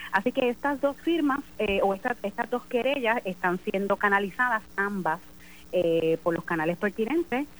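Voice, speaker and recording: A woman with an unremarkable speaking voice, medium pitch, lively intonation, very even loudness and a moderate pace. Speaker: election commission chair and judge. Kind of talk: phone interview. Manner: formal.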